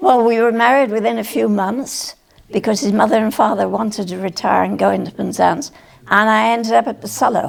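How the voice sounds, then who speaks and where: A woman with a Cornish accent speaks at a fairly quick pace. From Cornwall, England. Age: 90s. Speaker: retired nurse and farmer's wife recalling local history. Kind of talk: oral history interview. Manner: halting, with fillers.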